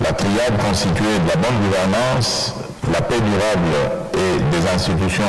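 Over loud background noise, a man speaks at a fairly slow pace with ordinary pitch variation. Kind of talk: formal prepared speech. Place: hall. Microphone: podium.

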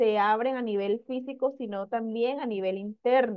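Fairly slow, high-pitched female speech with fairly even intonation and a quiet background. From Colombian Caribbean coast, Magdalena; Colombia. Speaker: sales director; sales director giving testimony. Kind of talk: testimony. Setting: live video stream. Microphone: headset.

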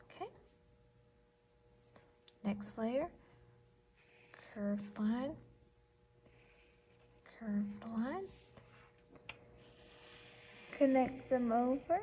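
A woman speaks at a very slow pace with long, frequent pauses. There is light background noise. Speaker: art teacher. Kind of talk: tutorial. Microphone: phone near.

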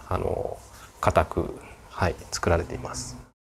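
A man talks at a moderate pace, with light background noise present. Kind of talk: interview answer. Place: workshop.

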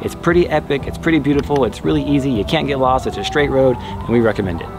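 A man races through his words at a very fast pace while clear music plays behind him. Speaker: travel vlogger. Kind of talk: casual vlog chat. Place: garden.

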